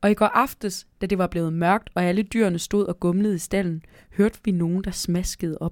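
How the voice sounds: A natural reading voice, intonation fairly even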